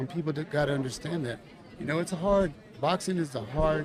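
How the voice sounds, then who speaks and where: The speaker talks at a fairly quick pace with an American accent, over noticeable background noise. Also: man. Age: 60s. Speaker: boxing coach. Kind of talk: casual interview chat.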